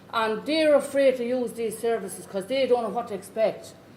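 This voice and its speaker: A woman with a rural Irish accent, fairly quick pace, ordinary pitch variation and audible room echo. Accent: rough Irish country. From rural Ireland, Irish Traveller community. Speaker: Traveller community education worker and parent. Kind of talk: conference talk. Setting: conference.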